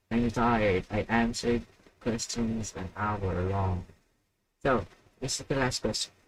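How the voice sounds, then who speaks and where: A man's fairly low voice with a non-native accent, fairly even intonation, and long, frequent pauses. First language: not English. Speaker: podcast host. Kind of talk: live stream Q&A. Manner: casual, hesitant.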